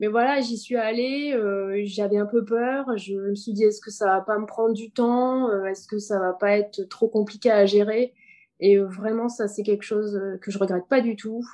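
Fairly high in pitch, a woman speaks at a fairly slow pace with a dark, mellow tone. Her intonation stays fairly even. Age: 30s. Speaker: entrepreneur. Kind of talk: interview.

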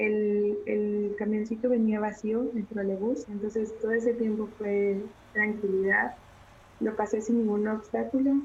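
A woman talks fairly slowly in a fairly high voice with monotone, flat intonation. Noticeable background noise is present. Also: very even loudness. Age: 30s. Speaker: visual artist and curator. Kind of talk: testimony.

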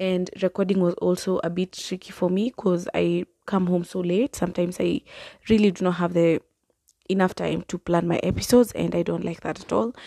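Dry and close with no echo over a quiet background, a woman speaks at a fairly quick pace in a dark, mellow tone, with a fairly low pitch and fairly even intonation. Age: 20s. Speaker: podcast host. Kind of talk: solo casual monologue.

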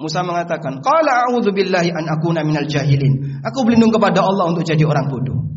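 A man talks at a very fast pace, his pitch swinging very widely. Noticeable background noise and audible room echo fill the recording. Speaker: Islamic preacher. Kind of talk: sermon.

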